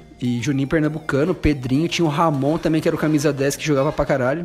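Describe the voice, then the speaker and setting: Fairly high-pitched male voice against noticeable background noise. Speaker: journalist, football pundit. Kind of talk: casual debate chat.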